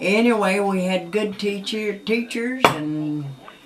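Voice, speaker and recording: A woman with a Southern US accent speaks at a very slow pace in a medium pitch. Her pitch varies in an ordinary way, and noticeable background noise is present. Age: old. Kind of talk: interview answer.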